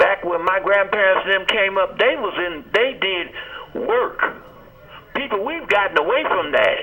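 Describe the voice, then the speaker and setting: Fairly slow speech from a man amid noticeable background noise. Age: 60s. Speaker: caller. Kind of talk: call-in comment. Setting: phone call.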